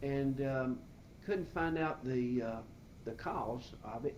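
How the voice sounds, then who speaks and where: At a very slow pace and in an Alabama accent, the speech carries audible room echo with music in the background. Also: man. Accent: Southern US (Alabama). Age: 60s. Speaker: retired business owner. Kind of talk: interview. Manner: halting, many fillers.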